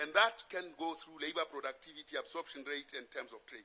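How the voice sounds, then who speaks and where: A man with a Lesotho accent. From South Africa. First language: Sesotho. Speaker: presenter at a political assembly. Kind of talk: lecture.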